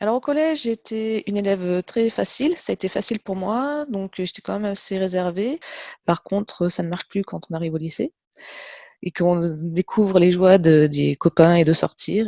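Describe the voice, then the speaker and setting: A woman talks at a medium pitch, keeping a moderate pace. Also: lively intonation. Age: 40s. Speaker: test technician. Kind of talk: interview testimony. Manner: hesitant, many fillers.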